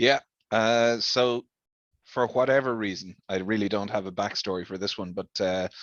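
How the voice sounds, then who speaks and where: With an Irish accent, a man speaks slowly-ish in a fairly low pitch and fairly even intonation. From Ireland. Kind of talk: interview answer.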